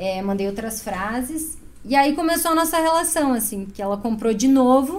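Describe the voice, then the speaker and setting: Amid noticeable background noise and audible room echo, a woman talks at a moderate pace in a high voice with very wide pitch swings. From Chapecó, western Santa Catarina, Brazil. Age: 30s. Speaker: clothing brand founder and designer. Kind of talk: podcast interview.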